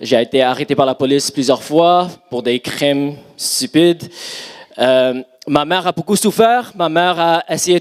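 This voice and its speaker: At a very slow pace, a man talks in a dry, close sound with no echo. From Montreal, Canada. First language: English (speaking French). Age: 30s. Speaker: pastor. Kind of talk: sermon; testimony. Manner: halting.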